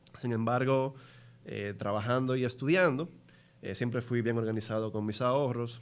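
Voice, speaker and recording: This is a man speaking. He talks at a moderate pace. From Dominican Republic. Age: 30s. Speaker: investment entrepreneur; guest. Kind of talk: interview. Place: studio. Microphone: studio mic.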